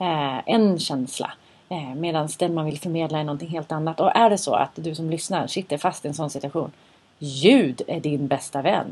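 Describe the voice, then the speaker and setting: This woman's voice is very deep and low in pitch, with ordinary pitch variation. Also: moderate pace. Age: 40s. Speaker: podcast host. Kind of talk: casual chat. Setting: studio.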